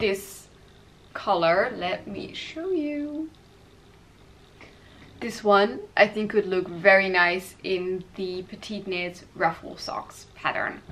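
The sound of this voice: A woman at medium pitch, slow and fairly bright in tone, with ordinary pitch variation and audible room echo.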